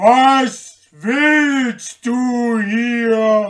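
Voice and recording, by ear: A man puts on a character voice with an extremely high pitch. He speaks at a very slow pace. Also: ordinary pitch variation.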